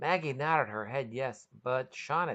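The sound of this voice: Reading aloud in an unforced voice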